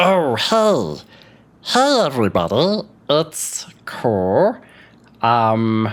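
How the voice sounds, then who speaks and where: The speaker uses a put-on character voice at a low-to-middle pitch with very wide pitch swings. The pace is very slow, with long, frequent pauses. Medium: actual play. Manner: taunting, brash.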